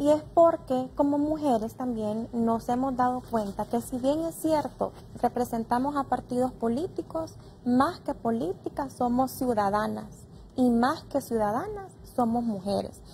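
Through light background noise, a woman with a high pitch and lively intonation speaks at a fairly slow pace. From Honduras. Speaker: congresswoman; guest, politician. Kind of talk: panel discussion. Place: studio.

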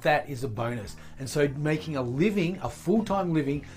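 The speech moves at a moderate pace with faint music in the background. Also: man. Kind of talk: casual vlog chat. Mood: upbeat and grateful.

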